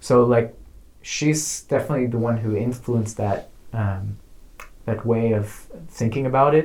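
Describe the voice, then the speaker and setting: With an American accent, the speaker sounds somewhat breathy and keeps a fairly even intonation. The pace is moderate, with long, frequent pauses. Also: man, medium pitch for a man. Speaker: artist.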